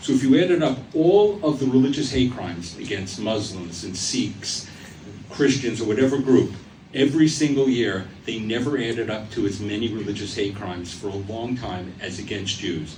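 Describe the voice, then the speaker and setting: In a room with audible echo and noticeable background noise, a man speaks at a moderate pace. His intonation is lively and his pitch medium. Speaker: speaker giving a talk on antisemitism. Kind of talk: public talk. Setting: stage with audience in a theater. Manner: formal.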